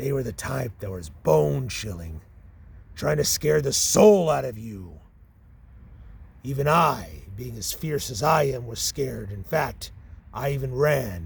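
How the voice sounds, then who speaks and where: A put-on character voice at a fairly slow pace, broken by long, frequent pauses. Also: man, medium pitch for a man. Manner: boastful, gruff.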